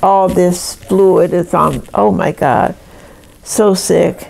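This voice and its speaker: A woman with an American accent speaks over noticeable background noise. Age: 80s+. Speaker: retired nurse. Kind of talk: life story interview. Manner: conversational.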